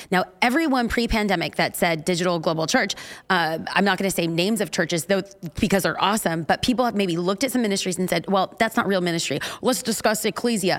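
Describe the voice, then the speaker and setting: A woman with a Californian accent speaks at a very fast pace. Her pitch is medium, with ordinary variation. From Los Angeles. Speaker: preacher and church pastor. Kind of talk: interview chat.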